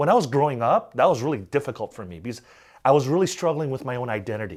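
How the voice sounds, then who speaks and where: Speaking at a very fast pace, a man uses lively intonation and vocal fry. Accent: American. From Korea, then raised in the US. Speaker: evangelical organization president. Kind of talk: interview. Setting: interview.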